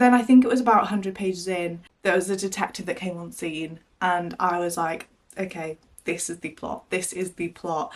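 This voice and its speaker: A woman's plain, everyday voice, medium in pitch, with ordinary pitch variation at a moderate pace. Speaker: book vlogger. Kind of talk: casual vlog talk to camera. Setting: in her wardrobe.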